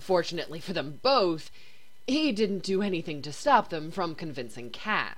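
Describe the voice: The text gets plain reading aloud, its intonation lively throughout.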